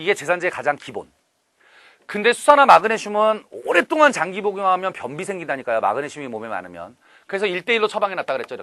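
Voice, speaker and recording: Raised and projected, a man's high-pitched voice has a bright, sharp tone, very wide pitch swings, big swings in loudness and a very fast pace. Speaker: chemistry instructor. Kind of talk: lecture. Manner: animated.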